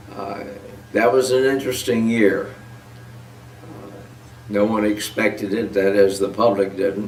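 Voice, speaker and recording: Speaking with an American accent, a man uses a fairly low voice and fairly even intonation at a fairly slow pace, with long, frequent pauses, big swings in loudness, and audible room echo. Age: 90s. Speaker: war veteran. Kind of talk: testimony. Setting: at home, on camera. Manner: halting. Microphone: poor audio quality.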